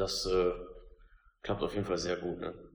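Audible room echo surrounds the voice. A man speaks, somewhat breathy. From Lower Rhine, Germany (Kamp-Lintfort). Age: 30s. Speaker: assembly worker and team spokesperson. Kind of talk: interview.

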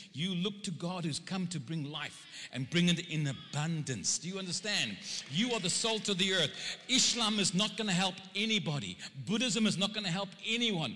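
Against noticeable background noise, a man with a South African accent speaks in a raised, projected voice at high pitch. His tone is animated and his pace moderate. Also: ordinary pitch variation. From South Africa (Cape Town). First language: Afrikaans. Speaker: preacher. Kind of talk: sermon. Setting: church.

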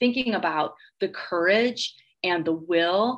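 Lively intonation runs through this voice, delivered with a Midwestern American accent. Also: woman. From Northwest Indiana (Gary). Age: 40s. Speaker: professor and author. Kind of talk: interview.

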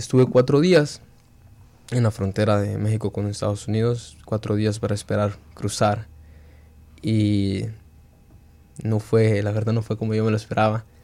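A man's fairly low, dark and mellow voice with fairly even intonation and long, frequent pauses. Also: moderate pace. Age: young. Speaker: high school soccer player, immigrant. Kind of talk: interview testimony. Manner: halting.

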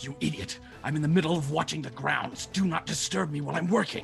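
Clear music plays in the background behind a put-on character voice that talks at a very fast pace. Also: man. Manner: irritated, scolding.

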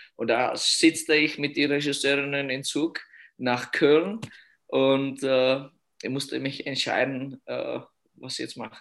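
A fairly high-pitched man with a Czech accent, very slow in pace, fairly even in intonation and with long, frequent pauses. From Czech Republic (Litvinov). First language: Czech (speaking German). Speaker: youth ice hockey coach. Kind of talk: interview. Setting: at home. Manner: halting.

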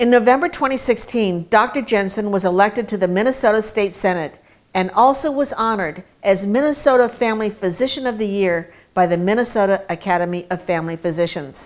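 A woman talks fairly quickly at a medium pitch, with lively intonation. She has a plain, everyday voice. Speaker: announcer introducing speaker. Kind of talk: scripted introduction.

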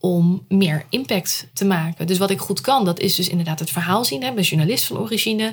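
A somewhat breathy voice belongs to a woman. Her intonation is lively. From Netherlands, Rotterdam. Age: 30s. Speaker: storytelling entrepreneur, former journalist. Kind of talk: casual interview. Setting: at home.

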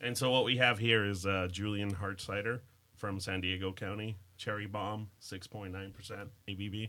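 A man speaks in a bright, sharp tone with monotone, flat intonation. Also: fairly low pitch for a man, moderate pace. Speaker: podcast host. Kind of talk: casual chat over drinks.

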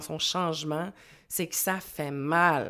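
A woman speaks with a Quebec accent at a fairly low pitch and very slow pace. Her intonation is fairly even, and the recording is very clean with a silent background. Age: 40s. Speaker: life coach. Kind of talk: interview.

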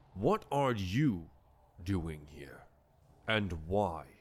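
A put-on character voice from a man, pitched very deep and low. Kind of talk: dignified fantasy speech. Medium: actual play. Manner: formal, measured.

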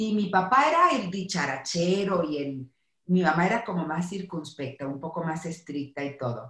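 An unremarkable speaking voice, a woman's, fairly low in pitch, at a moderate pace with lively intonation. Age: 50s. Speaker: psychologist. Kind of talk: casual chat.

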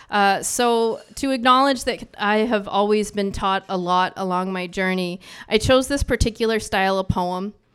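A woman with an ordinary speaking voice, medium pitch and ordinary pitch variation, at a moderate pace with hardly any pauses, on a very clean recording with a silent background. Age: 40s. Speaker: writer and poet. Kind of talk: poetry reading with chatty intro. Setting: stage with audience.

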